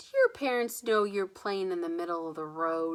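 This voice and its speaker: A woman's put-on character voice, gruff and rumbling, at a moderate pace. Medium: read story. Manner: gruff, grumbling.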